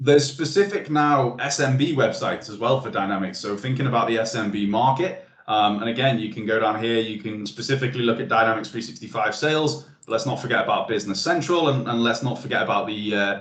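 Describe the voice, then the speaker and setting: Amid noticeable background noise and audible room echo, a man talks at a very fast pace with hardly any pauses and ordinary pitch variation. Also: medium pitch for a man. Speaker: webinar presenter. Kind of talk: webinar presentation.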